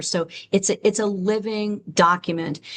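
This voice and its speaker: A woman's medium-pitched voice with ordinary pitch variation against a quiet background. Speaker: social worker presenting on LGBTQ+ mental health. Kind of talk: webinar lecture. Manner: fast.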